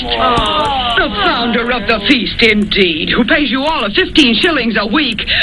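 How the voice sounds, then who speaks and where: A woman speaks at a fairly slow pace and high pitch with lively intonation and hardly any pauses. Music plays in the background. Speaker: actress playing a mother hosting Christmas dinner in a radio drama.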